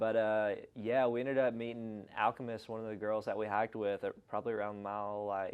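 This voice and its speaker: Talking at a fairly quick pace with hardly any pauses, a man holds a fairly low pitch in monotone, flat intonation. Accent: strong Southern US. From Arkansas, US South. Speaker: long-distance hiker. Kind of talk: casual interview chat.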